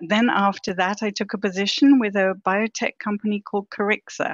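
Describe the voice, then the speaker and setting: A woman with a slight British accent talks at a medium pitch. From Britain. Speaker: vaccine research executive. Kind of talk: podcast interview.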